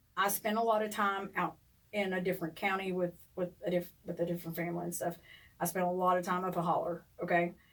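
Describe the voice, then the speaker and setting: Speaking very fast in a strong Appalachian accent, a woman keeps a medium pitch and a monotone, flat intonation. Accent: strong Appalachian twang. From eastern Kentucky, Ashland area. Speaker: podcast co-host. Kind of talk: casual chat.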